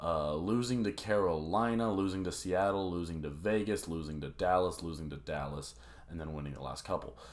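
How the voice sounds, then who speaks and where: At a fairly quick pace, a man speaks in a very deep, low voice with ordinary pitch variation and audible room echo. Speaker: sports podcast host. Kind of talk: solo sports predictions monologue. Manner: animated.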